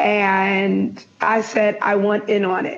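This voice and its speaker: A woman talks at a medium pitch. Noticeable background noise sits behind her voice. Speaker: business professor and researcher. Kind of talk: interview conversation.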